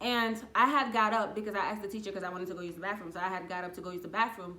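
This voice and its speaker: Talking at a very fast pace, a woman with a medium pitch and a slight non-native accent sounds animated, her loudness swinging widely while room echo is audible. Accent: slight foreign. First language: not English. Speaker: YouTuber. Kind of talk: casual storytelling.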